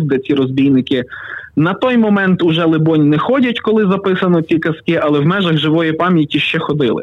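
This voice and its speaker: A man at a moderate pace, with an unremarkable speaking voice. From western Ukraine, Pokuttia. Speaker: writer and youtuber. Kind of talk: storytelling; casual interview. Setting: phone call.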